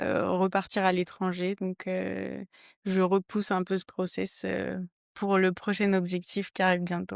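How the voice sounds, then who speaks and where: A woman talks at a fairly slow pace. Behind her, the background is quiet. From southern France, Toulouse area. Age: 20s. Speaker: trail runner, accountant. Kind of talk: podcast interview. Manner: hesitant, many fillers.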